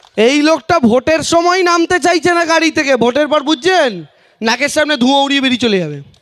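A man speaks in an animated tone at an extremely high pitch, with ordinary variation in his pitch. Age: 20s. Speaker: political candidate. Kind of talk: campaign rally speech.

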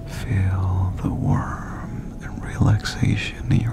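Over loud background noise, a soft-spoken man talks very slowly in a dry sound with no echo. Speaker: ASMR relaxation guide. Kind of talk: guided relaxation, body scan. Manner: soft, close-mic meditation voice. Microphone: studio mic.

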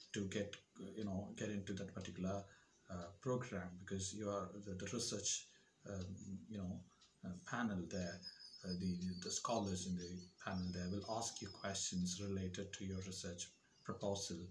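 A man speaks in a very deep, low, somewhat breathy voice, monotone and flat, at a moderate pace with long, frequent pauses over noticeable background noise. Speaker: educator giving advice. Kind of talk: tutorial. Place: home room. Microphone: lapel.

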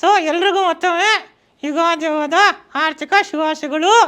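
A man's put-on character voice at an extremely high pitch and a moderate pace

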